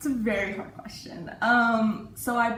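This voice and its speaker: A woman with an Iranian accent is heard with audible room echo and noticeable background noise. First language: Farsi. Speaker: university student. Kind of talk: interview. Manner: hesitant, with many fillers.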